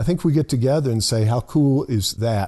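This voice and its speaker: Somewhat breathy and medium in pitch, a man with a Southern US accent talks at a moderate pace with ordinary pitch variation. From US South, lower Alabama (Monroeville). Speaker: pastor. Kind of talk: casual chat. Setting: studio.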